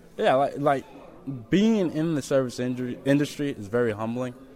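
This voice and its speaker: Noticeable background noise and audible room echo surround a man's voice. His pitch variation is ordinary. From Memphis, Tennessee. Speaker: student, naturalized refugee. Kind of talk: interview.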